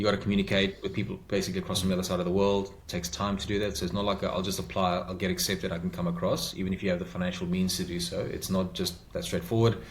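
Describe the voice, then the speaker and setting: A man with a South African accent talks at a very fast pace with hardly any pauses, his pitch very deep and low. His intonation is fairly even, and noticeable background noise sits behind him. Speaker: podcast guest, migrant to Australia. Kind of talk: interview answer. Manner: direct.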